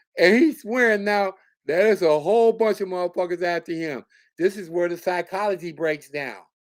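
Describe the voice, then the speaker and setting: A high-pitched man's voice with an American accent, animated in tone, fairly quick, with ordinary pitch variation, on a very clean recording with a silent background. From New York City (Bronx). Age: 60s. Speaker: YouTube commentator. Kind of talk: live stream rant.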